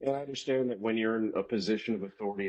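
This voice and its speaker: A man speaks at medium pitch with ordinary pitch variation. He has an ordinary speaking voice. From Florida. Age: 40s. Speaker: podcast guest. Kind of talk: casual chat.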